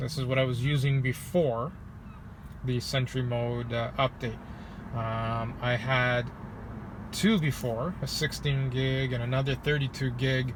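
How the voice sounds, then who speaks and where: Pausing long and often, a man with an American accent speaks at a fairly slow pace. His voice is somewhat breathy, with fairly even intonation. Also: medium pitch for a man. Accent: says he sounds American but is not. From Canada. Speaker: salesperson and car vlogger. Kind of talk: casual tutorial vlog. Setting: outdoors by a lake, near his car. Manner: casual with many fillers.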